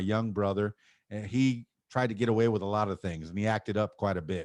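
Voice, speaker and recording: A man with an American accent talks at a fairly quick pace, his pitch fairly low and his intonation fairly even. The sound is dry and close, with no echo. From Miami, Florida. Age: 50s. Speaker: DJ and podcaster. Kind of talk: casual chat.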